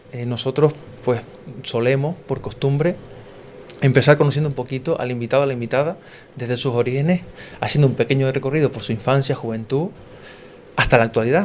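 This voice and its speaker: Over noticeable background noise, a man talks at a fairly quick pace with ordinary pitch variation and long, frequent pauses. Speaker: podcast host. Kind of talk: casual podcast talk.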